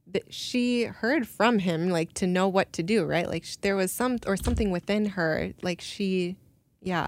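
A woman with an American accent speaks at a medium pitch and a fairly slow pace. She has an unremarkable speaking voice with ordinary pitch variation. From Minnesota, US. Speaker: artist and illustrator. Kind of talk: interview.

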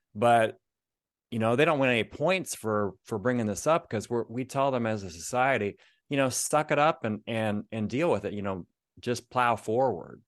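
A man with a Midwestern American accent at a moderate pace, against a quiet background. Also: medium pitch for a man, ordinary pitch variation. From Northeast Ohio. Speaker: author of men's devotionals. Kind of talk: interview.

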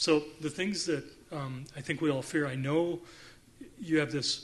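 The speaker is a man with fairly even intonation. He keeps a moderate pace. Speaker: trauma survivor panelist. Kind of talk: panel testimony. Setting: conference stage with audience. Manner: loud.

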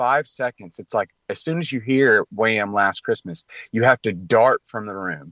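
Speaking with a Southern US accent, a man has a medium pitch, lively intonation and a bright, sharp tone, recorded dry and close with no echo against a quiet background. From Tennessee, Clarksville. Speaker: commentator on faith and culture. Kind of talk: radio interview.

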